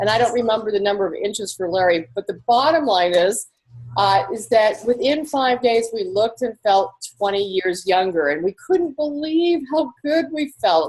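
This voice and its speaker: Enthusiastic and animated, a woman speaks at a moderate pace and fairly high pitch, with very wide pitch swings. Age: 60s. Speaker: network marketing distributor hosting online discussion. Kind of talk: personal testimony in a casual online round table. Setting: virtual round table online video. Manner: enthusiastic, animated.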